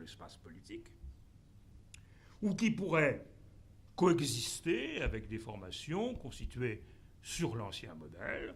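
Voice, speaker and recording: A man with vocal fry talks very slowly at a medium pitch, leaving long, frequent pauses. His pitch swings very widely, his loudness shifts greatly, and room echo is audible. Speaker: professor. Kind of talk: conference talk. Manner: halting, many fillers.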